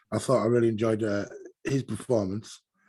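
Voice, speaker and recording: A man with an English accent, medium pitch and a moderate pace. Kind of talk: casual chat.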